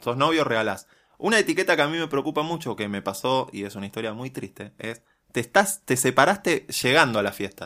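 Delivered at a fairly quick pace, the voice has a bright, sharp tone and very wide pitch swings on a very clean recording with a silent background. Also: man, medium pitch for a man. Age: 30s. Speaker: podcast co-host. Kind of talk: casual chat.

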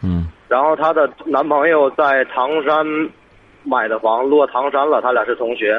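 Using an ordinary speaking voice, a man talks at a fairly slow pace with a fairly high pitch, ordinary pitch variation and very even loudness. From Hebei, Tangshan. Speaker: caller asking about sister. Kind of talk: call-in advice conversation.

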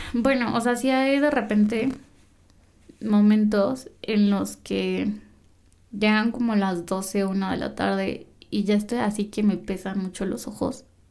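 At a very slow pace, a woman speaks with fairly even intonation. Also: medium pitch for a woman. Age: 20s. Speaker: lawyer. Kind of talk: casual interview.

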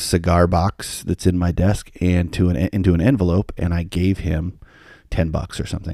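In an American accent, a man with a very deep, low pitch and a dark, mellow tone speaks at a moderate pace with monotone, flat intonation, in a very clean recording with a silent background. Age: 40s. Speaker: podcaster. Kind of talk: personal storytelling monologue.

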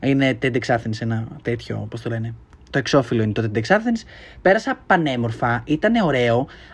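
A man's somewhat breathy voice sits at a medium pitch. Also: ordinary pitch variation. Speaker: podcaster. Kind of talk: casual monologue. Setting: home bedroom. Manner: fast.

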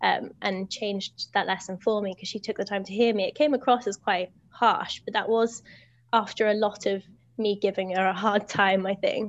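A woman's medium-pitched voice at a moderate pace, against a quiet background. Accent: British. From Britain. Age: 20s. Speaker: teacher. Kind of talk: casual chat. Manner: energetic.

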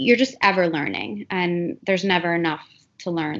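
Talking at a fairly quick pace with an American accent, a woman uses an ordinary speaking voice, fairly low in pitch with ordinary pitch variation. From US Midwest, Cleveland, Ohio. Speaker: mental health counselor. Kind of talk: interview.

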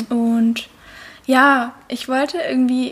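High-pitched, a woman's voice holds a monotone, flat intonation. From Lake Constance region, southern Germany. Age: 20s. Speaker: intern, media student. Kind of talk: casual chat.

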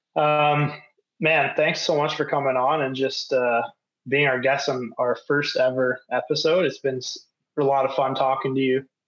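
With a Canadian accent, a man talks in a normal speaking voice at a moderate pace. His pitch is fairly high, his intonation fairly even and his loudness very even. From Canada. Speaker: podcast host. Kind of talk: casual interview.

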